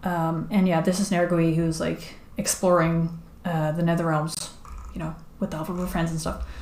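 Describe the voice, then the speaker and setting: Speech at a moderate pace, with audible room echo. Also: woman. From Netherlands. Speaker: streamer and comic artist. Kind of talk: casual live stream chat. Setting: live stream while drawing. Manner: halting, many fillers.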